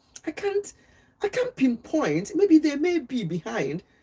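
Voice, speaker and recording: A woman with a strong Nigerian accent speaks at a fairly slow pace. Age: old. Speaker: health and wellness livestreamer. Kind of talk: casual livestream chat. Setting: live stream. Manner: deliberately slow.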